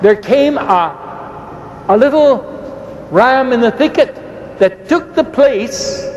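A man's voice, extremely high in pitch, comes through over noticeable background noise. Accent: Irish. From Ireland. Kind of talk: debate. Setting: stage with audience.

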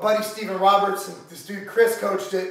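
A man speaks with strong room echo around his voice. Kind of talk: casual vlog chat. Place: gym. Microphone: camera far.

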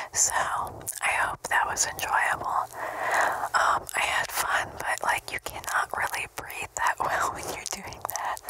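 A soft-spoken woman whispering at a very slow pace, dry sound with no echo, over loud background noise. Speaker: ASMR creator. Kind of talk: casual soft-spoken outro chat. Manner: soft close-mic ASMR whisper. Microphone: studio mic.

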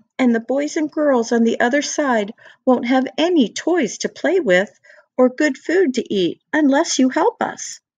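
A woman speaks at a fairly slow pace with an animated, warm tone and lively intonation. Her voice comes through dry and close, without echo. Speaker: storyteller reading to children. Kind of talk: bedtime story read aloud. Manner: warm, gentle, sing-song storytelling; animated, with different character voices.

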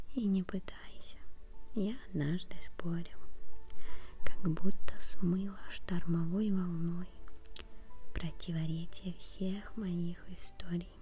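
Soft-spoken and very slow, the voice moves through long, frequent pauses while music plays in the background. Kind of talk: quiet poetry reading, ASMR style. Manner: quiet, soft-spoken.

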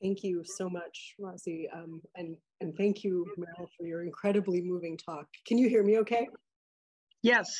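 At a moderate pace and medium pitch, a woman speaks in a plain, everyday voice over a quiet background. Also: fairly even intonation. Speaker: anthropologist and professor; professor. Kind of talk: academic commentary. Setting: video call. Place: home room. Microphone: video call.

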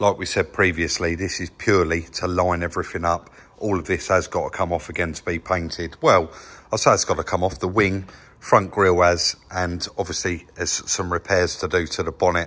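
A man's very deep, low voice, bright and sharp in tone, monotone and flat, at a fairly quick pace. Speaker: channel host. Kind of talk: casual vlog commentary. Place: workshop. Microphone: phone near.

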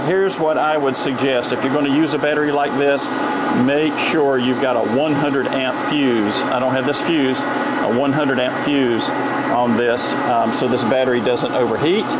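A man at a moderate pace against loud background noise. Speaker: RV product reviewer. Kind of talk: tutorial. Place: workshop.

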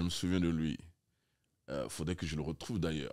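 Quiet background behind a man's voice. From Chad. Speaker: artistic director of a literary festival; guest. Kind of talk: interview. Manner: halting, many hesitations. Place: studio. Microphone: studio mic.

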